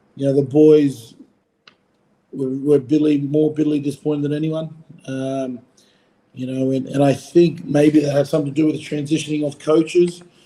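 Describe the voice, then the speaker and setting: A man with a strong Australian accent speaks at a fairly quick pace, his pitch fairly high and his tone dark and mellow. His intonation stays monotone and flat, broken by long, frequent pauses. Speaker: former rugby player, coach. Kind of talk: podcast interview. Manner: casual, filler-heavy.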